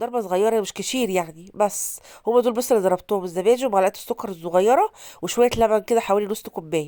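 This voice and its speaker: A woman talks at a fairly quick pace in a fairly high pitch. Her tone is dark and mellow, with ordinary pitch variation. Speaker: cooking vlogger. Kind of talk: tutorial. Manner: casual.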